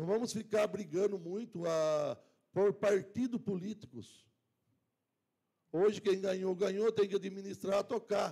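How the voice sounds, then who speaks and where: Long, frequent pauses break up this man's fairly slow speech, which has a high pitch and a dark, mellow tone. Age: 60s. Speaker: city councillor. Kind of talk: council speech. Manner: halting.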